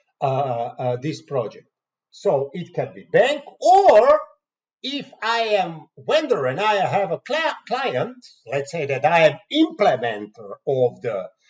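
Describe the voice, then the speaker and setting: The speaker talks at a very slow pace with a Croatian accent. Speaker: software trainer. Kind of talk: tutorial. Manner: halting.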